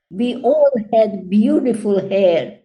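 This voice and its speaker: A woman speaks with a dark, mellow tone and a somewhat breathy quality. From Czechoslovakia. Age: 80s+. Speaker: Holocaust survivor. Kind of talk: testimony talk.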